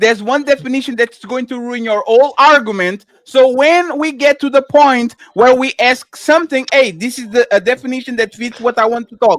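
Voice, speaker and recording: The delivery runs at a moderate pace with hardly any pauses. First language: not English. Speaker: debate panelist. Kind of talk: heated debate.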